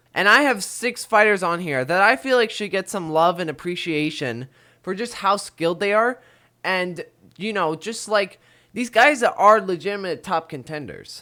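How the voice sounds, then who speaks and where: A man's high, bright, sharp voice, raised and projected, energetic in tone with lively intonation at a moderate pace, on a very clean recording with a silent background. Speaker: MMA commentary YouTuber. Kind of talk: casual talk to camera. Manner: casual, energetic.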